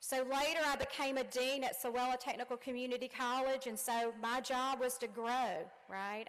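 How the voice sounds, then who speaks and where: High-pitched, a woman talks with a strong Southern US accent. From Louisiana. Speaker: commencement speaker, college dean. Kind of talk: commencement speech. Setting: stage with audience. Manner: animated.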